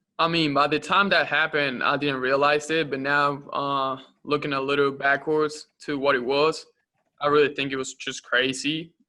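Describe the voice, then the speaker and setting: A man with a Spanish accent speaks in a bright, sharp tone at a fairly high pitch. His intonation is flat and monotone, at a moderate pace. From Uruguay. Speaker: college basketball player. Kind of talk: press conference interview. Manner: halting, many fillers.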